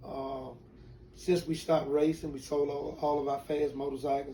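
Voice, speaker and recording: The speaker has a Southern US accent and a moderate pace. Noticeable background noise can be heard. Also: man. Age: 60s. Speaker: retired drag racer. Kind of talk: interview, personal story. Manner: halting.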